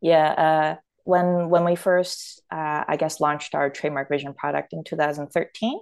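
With a Canadian accent, the speaker moves at a moderate pace with ordinary pitch variation against a quiet background. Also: woman. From Toronto, Canada. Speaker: startup founder and product executive. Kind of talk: casual interview chat.

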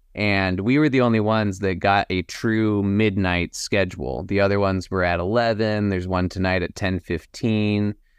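A plain, everyday voice from a man with an American accent, fairly low in pitch, at a moderate pace with hardly any pauses and ordinary pitch variation. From Texas, Austin. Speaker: filmmaker and actor. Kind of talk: casual interview.

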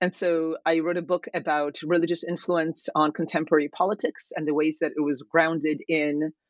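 A woman with an American accent and a very deep, low pitch speaks at a moderate pace with fairly even intonation. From Kansas, US (emigrated from Poland at 10). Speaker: political science professor. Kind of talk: interview about her book.

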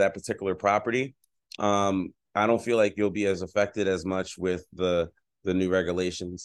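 A man with an American accent has an unremarkable speaking voice, fairly low in pitch. He speaks at a moderate pace against a quiet background. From Philadelphia, Pennsylvania. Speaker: real estate investor and speaker. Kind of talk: interview.

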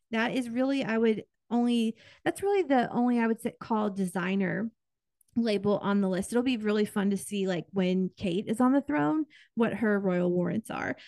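A woman with an American accent speaks at a moderate pace, her fairly high voice dark and mellow in tone. The sound is dry and close with no echo, and the background is quiet. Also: ordinary pitch variation. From Kansas, US Midwest. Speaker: podcast co-host. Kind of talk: casual chat.

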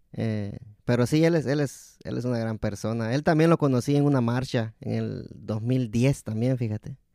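This man has a normal speaking voice, pitched in the medium range, with ordinary pitch variation and a moderate pace. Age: 30s. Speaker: podcast host. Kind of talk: casual chat.

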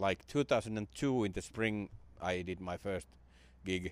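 On a very clean recording with a silent background, a man with a Finnish accent speaks at a fairly low pitch. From Finland; Jyväskylä, Finland. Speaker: comedian. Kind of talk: casual podcast interview.

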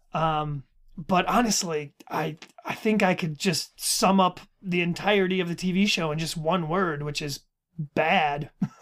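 Speaking at a fairly slow pace, a man keeps his high-pitched voice in a fairly even intonation. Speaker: podcast host. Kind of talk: casual chat about a book series.

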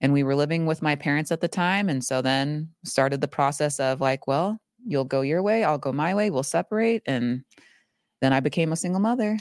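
Someone with an American accent talks at a fairly quick pace, the sound dry and close with no echo, in a very clean recording with a silent background. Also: woman, very deep, low pitch for a woman, very even loudness. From Arizona, US. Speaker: doula and bodybuilder. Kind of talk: interview.

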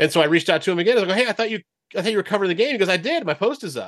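A man with a Californian accent, bright and sharp in tone, with very wide pitch swings over a quiet background. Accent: General American (Californian). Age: 40s. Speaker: sports broadcaster. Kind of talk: casual interview.

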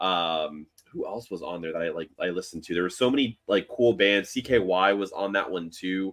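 A man's very deep, low voice at a fairly quick pace with hardly any pauses. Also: ordinary pitch variation. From Miami, Florida. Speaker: podcast co-host. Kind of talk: casual chat.

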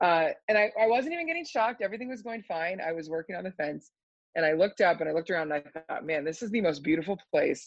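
In an American accent, a woman rattles along at a very fast pace with lively intonation. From Pennsylvania. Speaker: dairy farmer. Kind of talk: casual chat.

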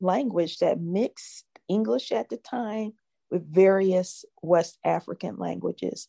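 With an American accent, a woman speaks at a fairly slow pace in a medium pitch and a dark, mellow tone, the sound dry and close with no echo and the background quiet. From US Northeast, Philadelphia. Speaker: jazz singer-songwriter and social finance innovator. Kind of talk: interview. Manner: halting, many fillers.

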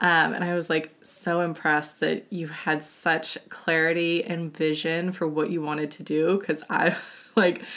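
A woman talks in a plain, everyday voice at a fairly low pitch. Her pace is moderate. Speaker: podcast host. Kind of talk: casual interview chat.

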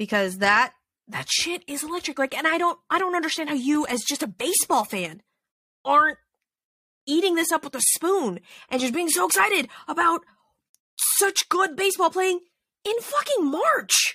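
In an American accent, the raised, projected voice sounds bright and sharp with an animated tone and very wide pitch swings, moving at a moderate pace with long, frequent pauses in a dry, close recording with no echo. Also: woman, extremely high pitch for a woman. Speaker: podcast host. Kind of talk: casual chat.

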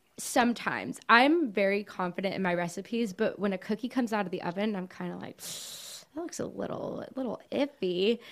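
With an American accent and vocal fry, the speaker goes at a fairly quick pace with hardly any pauses. The loudness swings widely. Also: woman, medium pitch for a woman, lively intonation. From Miami, Florida (Cuban family). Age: 20s. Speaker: small business owner, baker and college student. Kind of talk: casual interview chat.

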